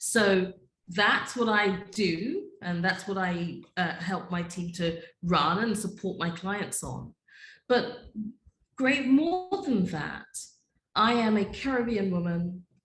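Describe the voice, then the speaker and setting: With a British accent, a woman speaks very slowly at medium pitch with ordinary pitch variation. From UK. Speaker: data privacy attorney and business owner. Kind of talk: podcast interview.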